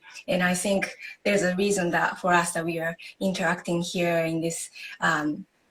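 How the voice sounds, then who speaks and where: In a Japanese accent, a woman speaks at a moderate pace. Her pitch is fairly low and her intonation monotone and flat. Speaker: yoga instructor. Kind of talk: interview on live video stream. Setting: live video stream.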